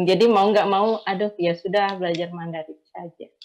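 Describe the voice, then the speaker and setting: The voice carries a Javanese accent, moving at a moderate pace with fairly even intonation. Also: woman. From Indonesia, Javanese from Blitar, raised partly in Sumatra. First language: Javanese (speaking Indonesian). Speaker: migrant domestic worker and writer. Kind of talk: online panel discussion.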